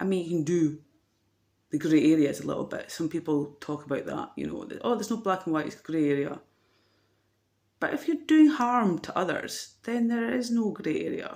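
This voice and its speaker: The speaker has a Dundee accent. The pace is moderate. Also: woman, fairly low pitch for a woman. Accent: Scottish (Dundee). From Scotland, Dundee. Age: 40s. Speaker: vlogger. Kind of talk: personal vlog monologue. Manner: hesitant, many fillers.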